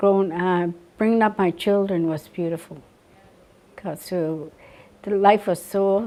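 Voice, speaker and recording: At a fairly slow pace, a woman with a Maritime Canadian accent talks at a medium pitch with a dark, mellow tone and fairly even intonation. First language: Mi'kmaq. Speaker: residential school survivor. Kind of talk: interview testimony. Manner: halting, many fillers.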